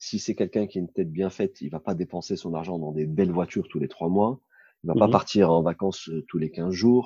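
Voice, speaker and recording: A man with a very deep, low pitch and a dark, mellow tone, fairly even intonation and a fairly quick pace against a quiet background. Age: 40s. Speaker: Islamic finance consultant. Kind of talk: interview. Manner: halting, many fillers.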